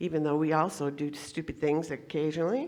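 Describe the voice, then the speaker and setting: The voice has vocal fry. The recording is very clean, with a silent background. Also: woman. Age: 70s. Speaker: guest speaker at spiritual center. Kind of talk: sermon. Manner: halting.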